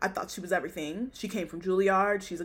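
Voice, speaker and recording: A woman speaks in an animated tone that sounds bright and sharp. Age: 20s. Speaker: podcast host. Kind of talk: casual chat.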